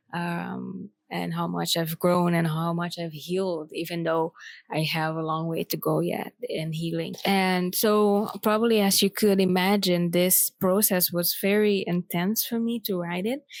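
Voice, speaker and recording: Speaking at a fairly slow pace, a woman with a fairly low pitch and fairly even intonation comes through in a very clean recording with a silent background. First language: not English. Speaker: poet and author. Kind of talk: personal vlog. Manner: halting, many fillers.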